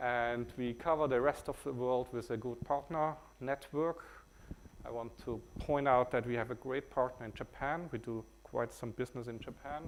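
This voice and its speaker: A man talks with a German accent at medium pitch. He goes at a fairly slow pace. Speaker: company CEO presenting software. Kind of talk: conference talk. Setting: stage with audience. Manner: hesitant, many filler words.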